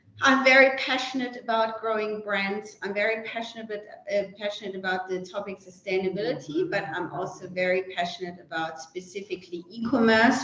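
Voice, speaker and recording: A woman with a German accent speaks at a fairly quick pace and medium pitch, with ordinary pitch variation and hardly any pauses, over noticeable background noise. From Germany. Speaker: e-commerce merchandising executive. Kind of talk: panel webinar discussion. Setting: online webinar. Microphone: technical issues just resolved.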